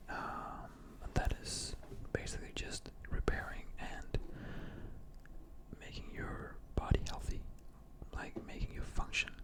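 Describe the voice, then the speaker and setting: A man whispers at a very slow pace with long, frequent pauses and big swings in loudness. Noticeable background noise sits behind him. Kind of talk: ASMR role-play, gym bro supplement shop advice. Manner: casual, explanatory, hesitant with filler words.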